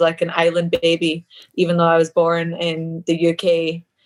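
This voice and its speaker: A woman's voice, fairly low in pitch. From Scotland (Kilmarnock), raised in Australia from age ten. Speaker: mixed martial arts fighter. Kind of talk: podcast interview.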